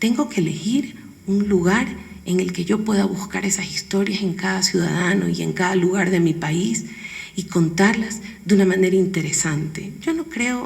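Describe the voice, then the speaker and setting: Moderately paced speech from a woman amid noticeable background noise and audible room echo. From coastal Ecuador, Guayaquil. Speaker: educational television director, panelist. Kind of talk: conference panel talk.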